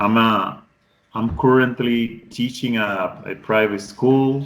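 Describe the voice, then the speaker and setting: At a very slow pace, a man talks at a medium pitch. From Colombian Pacific coast, Cauca. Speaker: English tutor. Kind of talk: online class introduction. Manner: halting, with restarts.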